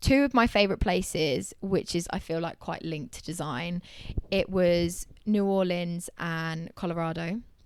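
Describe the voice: The speaker has a British accent and talks at a moderate pace. The recording is very clean, with a silent background. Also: woman.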